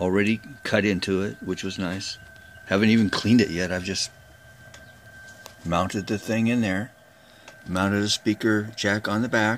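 Monotone, flat intonation with long, frequent pauses over light background noise. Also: man, fairly low pitch for a man, moderate pace. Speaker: amateur radio hobbyist. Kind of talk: casual show-and-tell tutorial. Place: workshop. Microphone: phone near.

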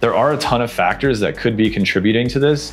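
A man talks with ordinary pitch variation. Music plays faintly behind him. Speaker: smart home reviewer. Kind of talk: tutorial. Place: home room. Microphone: lapel.

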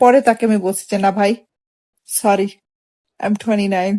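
Her voice has a dark, mellow tone, a medium pitch and fairly even intonation. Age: 20s. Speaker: vlogger. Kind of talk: casual chat.

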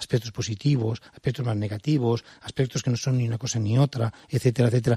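At a fairly quick pace, a man with a medium pitch and a dark, mellow tone speaks somewhat breathily with fairly even intonation, the sound dry and close with no echo. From Spain, Valencia. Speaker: museum director. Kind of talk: interview. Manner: calm.

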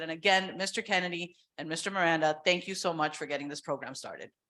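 A woman's voice has a bright, sharp tone. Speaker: trial lawyer, mock trial coach. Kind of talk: short speech at school board meeting. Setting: public board meeting with audience. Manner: loud.

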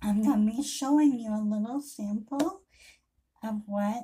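Her intonation is lively as this woman speaks. Light background noise sits under her voice. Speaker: independent hair accessory seller. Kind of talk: casual product intro vlog. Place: home room. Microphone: webcam.

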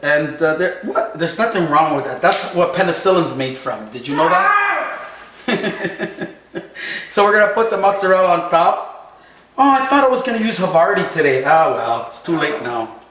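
Audible room echo surrounds a man speaking at a high pitch and moderate pace. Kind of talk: casual cooking vlog chat. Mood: jokey, upbeat. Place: kitchen.

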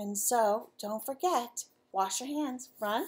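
Natural reading voice, its pitch rising and falling in an ordinary way

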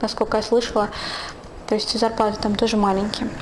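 Light background noise behind a woman's speech. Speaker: vlogger. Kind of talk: vlog monologue. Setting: at home. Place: home room. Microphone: lapel.

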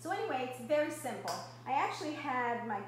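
A woman speaks against light background noise. The room echo is audible. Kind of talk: casual cooking tutorial. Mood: warm, chatty. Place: kitchen. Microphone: camera far.

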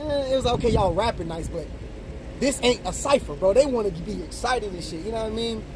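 Over noticeable background noise, a man with a high pitch speaks at a very fast pace, his loudness swinging widely. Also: dry sound with no echo. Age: 30s. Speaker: battle rapper. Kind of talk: casual chat. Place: car. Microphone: camera far.

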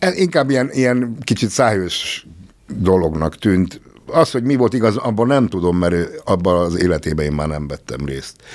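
Against a quiet background, a man speaks at a moderate pace. His fairly low voice moves in very wide pitch swings. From Hungary. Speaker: musician; podcast guest. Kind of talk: casual chat. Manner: halting. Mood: reflective, a bit wry. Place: studio. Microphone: studio mic.

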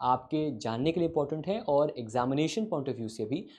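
At a moderate pace, a man speaks in a dark, mellow tone with lively intonation. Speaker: exam prep teacher. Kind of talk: lecture. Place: studio. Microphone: lapel.

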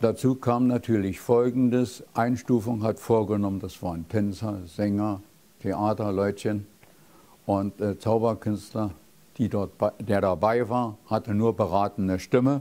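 The speech moves at a fairly slow pace, with a dark, mellow tone and fairly even intonation. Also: man, fairly low pitch for a man. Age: 80s+. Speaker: magician. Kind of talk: interview answer. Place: studio. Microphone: lapel.

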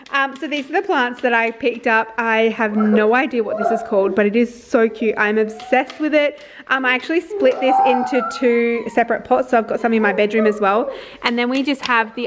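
A woman's high-pitched voice at a fairly quick pace, with ordinary pitch variation and noticeable background noise. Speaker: family vlogger. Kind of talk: casual vlog chat. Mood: cheerful and chatty. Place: home room. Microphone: phone near.

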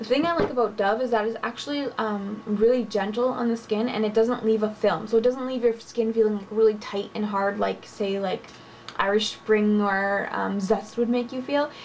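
Against light background noise, a woman talks at a moderate pace with fairly even intonation. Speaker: beauty vlogger. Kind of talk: casual vlog chat. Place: home room. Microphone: webcam.

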